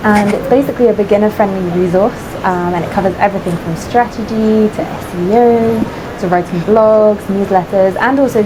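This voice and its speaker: With a British accent, a woman talks fairly quickly at a medium pitch with fairly even intonation, amid noticeable background noise and audible room echo. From United Kingdom. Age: 20s. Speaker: freelance content writer. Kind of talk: interview conversation.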